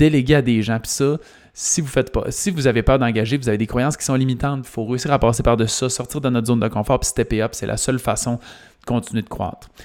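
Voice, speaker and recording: Speaking very fast in a Quebec accent, a man keeps his intonation fairly even. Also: medium pitch for a man. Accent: Québécois French. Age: 30s. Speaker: business coach and podcast host. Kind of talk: solo podcast monologue.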